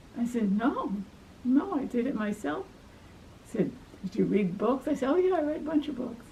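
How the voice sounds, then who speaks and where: With a Brooklyn accent, a woman speaks at a high pitch with very wide pitch swings, a moderate pace and long, frequent pauses, over noticeable background noise. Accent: Brooklyn New York. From New York, Brooklyn. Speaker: life story interviewee, retired academic. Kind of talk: family life story interview.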